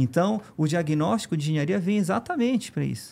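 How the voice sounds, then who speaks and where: A man's pitch swings very widely as he talks at a moderate pace, the recording very clean and the background silent. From Pará, northern Brazil. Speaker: engineering firm executive. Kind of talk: podcast interview.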